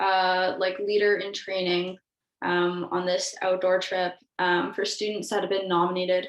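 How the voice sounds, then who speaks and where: A woman with a Canadian accent has a normal speaking voice at medium pitch. She goes at a fairly slow pace with fairly even intonation. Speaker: university student, outdoor club trip coordinator. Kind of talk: casual group discussion.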